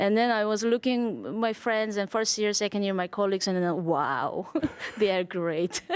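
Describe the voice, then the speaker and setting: A woman with a Korean accent speaks at a moderate pace. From South Korea. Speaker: jazz drummer and bandleader. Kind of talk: interview. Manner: halting.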